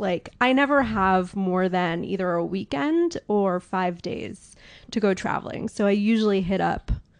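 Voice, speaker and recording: With a quiet background, a woman of medium pitch speaks at a fairly slow pace in a New York accent. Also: ordinary pitch variation. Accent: New York American. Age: 30s. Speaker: watch sales advisor. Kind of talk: podcast interview.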